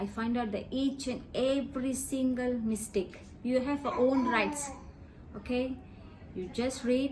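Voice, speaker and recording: A woman speaks with a Tamil accent in a high pitch with ordinary pitch variation. The room echo is audible, and the background noise is noticeable. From Malaysia. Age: 40s. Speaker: interviewee, released prisoner. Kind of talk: interview testimony.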